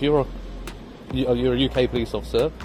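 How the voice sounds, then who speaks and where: Over music in the background, a man with a British accent talks at a very fast pace. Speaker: filming auditor. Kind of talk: confrontation with police. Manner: calm.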